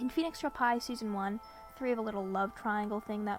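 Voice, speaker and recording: Over background music, a woman with a fairly high voice speaks at a moderate pace in a fairly even tone. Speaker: former fan and commentary creator. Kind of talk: video essay commentary.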